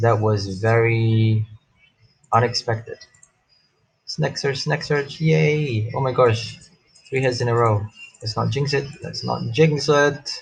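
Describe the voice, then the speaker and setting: Using a medium pitch with ordinary variation, a man speaks at a very slow pace, broken by long, frequent pauses. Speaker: gaming youtuber. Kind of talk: live gameplay commentary. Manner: animated.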